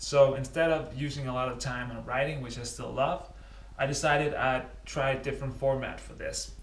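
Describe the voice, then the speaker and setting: Moderate pace from a man, surrounded by noticeable background noise and audible room echo. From Denmark. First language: Danish. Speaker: cycling vlogger. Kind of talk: casual vlog talk to camera. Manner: halting with many fillers.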